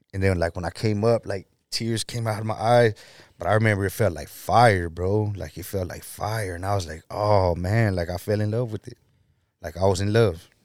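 A man with an American accent speaks at a moderate pace in a fairly low voice, with fairly even intonation. His loudness swings widely, on a very clean recording with a silent background. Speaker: ex-convict sharing his testimony. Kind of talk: testimony.

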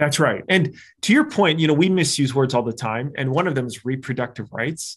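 In a quiet background, a man with a fairly high, somewhat breathy voice speaks at a fairly quick pace with ordinary pitch variation. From Arizona. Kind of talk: interview.

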